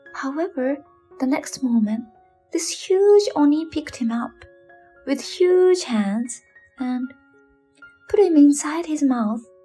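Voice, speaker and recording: A soft-spoken woman at a very slow pace, high-pitched with lively intonation, music playing in the background. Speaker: bedtime storyteller. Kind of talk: English narration of folktale.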